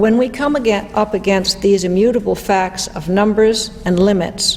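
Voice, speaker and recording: Noticeable background noise and audible room echo around a woman's voice. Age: 60s. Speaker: economist and lecturer. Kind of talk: lecture.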